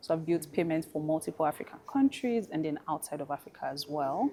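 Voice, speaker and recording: Here a woman speaks with a Nigerian accent. Her pitch is very deep and low. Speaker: fintech professional and fashion brand founder. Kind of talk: panel discussion.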